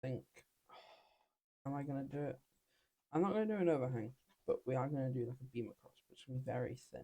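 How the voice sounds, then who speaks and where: Somewhat breathy and dark, mellow in tone, a man talks at a very fast pace with long, frequent pauses and ordinary pitch variation. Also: medium pitch for a man. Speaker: gaming youtuber. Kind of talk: gameplay commentary. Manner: casual, hesitant with fillers.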